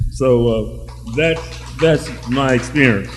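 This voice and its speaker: With music in the background and audible room echo, a man is speaking. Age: 70s. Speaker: audience member, retired public health worker. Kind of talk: audience comment in a public discussion.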